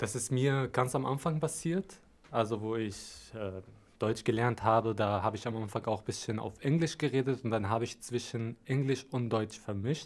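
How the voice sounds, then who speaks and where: With an Arabic accent, a man speaks at a moderate pace and medium pitch, with ordinary pitch variation. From Syria, Damascus. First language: Arabic (speaking German). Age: 20s. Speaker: media design trainee. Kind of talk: interview.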